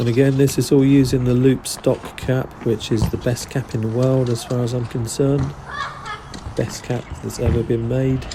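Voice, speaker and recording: A man in a London accent, relaxed in tone, with monotone, flat intonation and noticeable background noise. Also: medium pitch for a man, moderate pace. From South London. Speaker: graffiti artist. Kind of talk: voice-over commentary tutorial. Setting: recorded voice-over. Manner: casual, relaxed.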